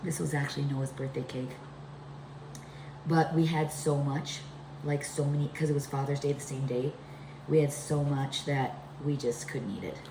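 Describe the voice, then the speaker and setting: A woman with a very deep, low pitch speaks at a moderate pace, with monotone, flat intonation and long, frequent pauses. Noticeable background noise and audible room echo fill the recording. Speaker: home cooking vlogger. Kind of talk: cooking tutorial. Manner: casual, chatty.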